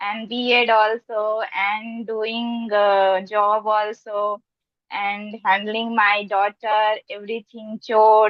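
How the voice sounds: A woman with a fairly high pitch speaks slowly, the sound dry and close with no echo.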